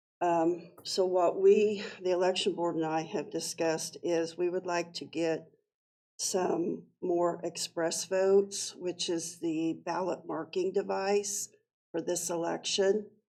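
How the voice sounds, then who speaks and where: The speech moves at a very slow pace. Its intonation is monotone and flat. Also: woman. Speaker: county clerk. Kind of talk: public meeting presentation. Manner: halting.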